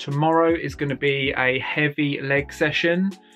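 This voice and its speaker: Monotone, flat intonation from a man at a fairly slow pace, with faint music in the background. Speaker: fitness coach. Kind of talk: casual vlog chat. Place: home room. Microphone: phone near.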